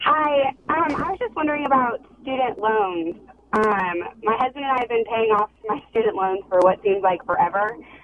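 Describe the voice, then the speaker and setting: Speaking at a moderate pace with an American accent, a woman uses a fairly high pitch and lively intonation over noticeable background noise. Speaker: caller. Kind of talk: call-in question. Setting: phone call. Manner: hesitant, frequent ums.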